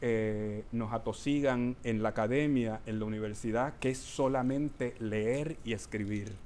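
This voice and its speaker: Audible room echo surrounds a man's voice. He speaks at medium pitch and a fairly slow pace. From Puerto Rico. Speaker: performance artist and educator. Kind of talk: performative lecture with Q&A. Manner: hesitant, many fillers.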